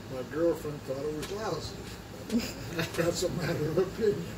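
A man talks over background noise that is easy to notice. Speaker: grandfather answering questions. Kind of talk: interview answer. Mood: amused, joking. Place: kitchen. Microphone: camera far.

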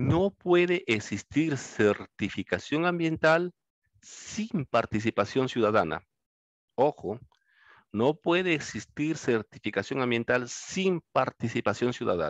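Against a quiet background with dry sound and no echo, a man speaks at a very slow pace with very wide pitch swings. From Peru. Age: 50s. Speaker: law lecturer. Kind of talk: lecture. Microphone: headset.

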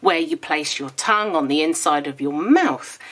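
A woman's low-pitched voice at a moderate pace. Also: fairly bright tone.

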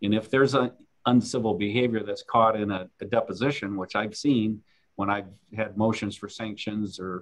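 The intonation stays fairly even. The pace is moderate. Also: man, fairly low pitch for a man.

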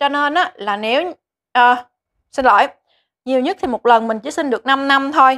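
The voice has a bright, sharp tone and ordinary pitch variation at a fairly quick pace. The recording is very clean with a silent background and a dry, close sound with no echo. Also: woman. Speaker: vlogger living in Japan. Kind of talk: tutorial, informative vlog monologue. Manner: friendly, chatty.

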